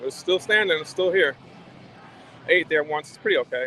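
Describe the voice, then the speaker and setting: With an American accent, a man talks very fast in a high pitch over noticeable background noise. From Brooklyn, New York. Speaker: travel vlogger. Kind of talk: live stream walk-and-talk. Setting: outdoors at entertainment district. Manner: casual, conversational.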